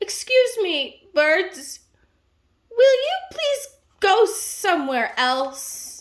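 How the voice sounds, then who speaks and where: A woman uses a put-on character voice at an extremely high pitch, swinging very widely in pitch while speaking at a very slow pace. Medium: read story. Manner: fretful, careful.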